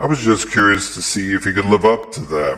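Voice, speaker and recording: Using a put-on character voice, a man talks at a fairly quick pace. His pitch is fairly low, with ordinary pitch variation. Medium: read story. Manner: blunt, straightforward.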